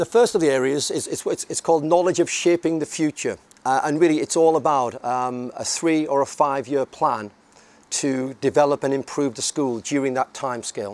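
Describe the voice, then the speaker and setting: In a dry, close sound with no echo, a man speaks at a fairly quick pace and a fairly high pitch. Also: ordinary pitch variation. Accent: northern English. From northern England, near Scotland. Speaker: head teacher. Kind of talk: conference talk. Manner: halting.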